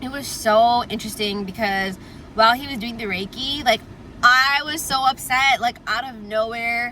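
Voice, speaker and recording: A woman's high voice at a moderate pace, with ordinary pitch variation, big swings in loudness and noticeable background noise. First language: Tamil. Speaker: lifestyle vlogger. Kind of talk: casual chat. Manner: filler-heavy, frequent 'like'. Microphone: audio quality issue, air conditioner on.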